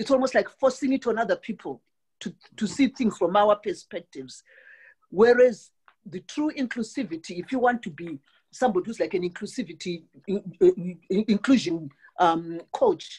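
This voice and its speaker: A woman's somewhat breathy, fairly high voice with a Southern African accent and lively intonation, dry and close with no echo. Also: moderate pace. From Southern Africa (South Africa/Zimbabwe). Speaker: call participant. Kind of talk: panel discussion question. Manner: halting, stuttering repetitions.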